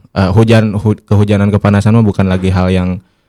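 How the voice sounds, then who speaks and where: A man talks at a very fast pace with a fairly low pitch. His tone is dark and mellow, and his intonation fairly even. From West Java (Sundanese). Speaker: podcast guest speaker. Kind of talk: casual discussion. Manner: halting, many fillers.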